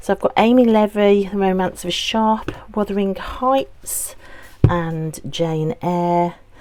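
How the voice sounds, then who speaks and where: In a Birmingham accent, a woman speaks very slowly at a medium pitch with ordinary pitch variation. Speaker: book vlogger. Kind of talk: casual vlog talk.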